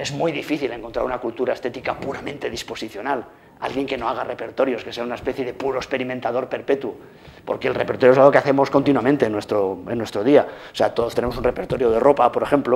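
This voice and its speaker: Speaking very fast, this man keeps to a medium pitch. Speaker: lecturer. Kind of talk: lecture. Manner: animated.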